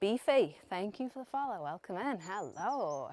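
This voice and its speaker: A woman with a British accent and lively intonation, on a very clean recording with a silent background. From UK. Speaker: streamer. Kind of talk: live stream commentary. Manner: casual, chatty.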